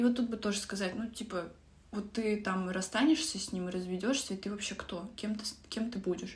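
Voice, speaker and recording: Against noticeable background noise, a woman with a fairly high pitch and a calm tone speaks at a moderate pace with fairly even intonation. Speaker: book podcast host. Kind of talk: casual book discussion.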